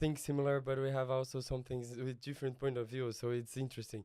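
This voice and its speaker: On a very clean recording with a silent background, a man with a Brazilian accent speaks at a moderate pace in a dark, mellow tone of medium pitch. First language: Portuguese. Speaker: missionary pastor. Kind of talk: casual interview. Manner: halting non-native English.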